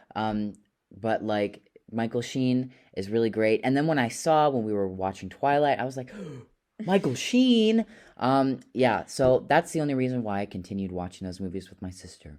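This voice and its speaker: A man talks at a medium pitch and moderate pace in a plain, everyday voice, with lively intonation and big swings in loudness. The recording is very clean, with a silent background. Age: 18. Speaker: podcast co-host, illustration student. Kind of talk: casual chat.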